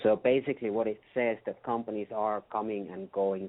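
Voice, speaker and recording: This man has a fairly low pitch. He talks at a moderate pace with fairly even intonation. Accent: Finnish. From Finland. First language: Finnish. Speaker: customer experience consultant. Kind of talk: interview.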